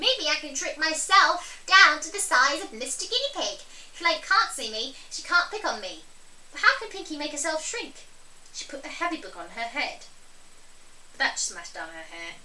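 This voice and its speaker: A squeaky, put-on character voice from a woman, extremely high in pitch, with big swings in loudness, a moderate pace and light background noise. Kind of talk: children's read-aloud storytelling. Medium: read story. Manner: bright, animated, playful.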